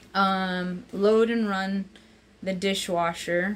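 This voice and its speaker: Over light background noise, a woman speaks at a fairly low pitch with monotone, flat intonation. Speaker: home vlogger. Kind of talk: casual vlog chat. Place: kitchen. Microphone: phone near.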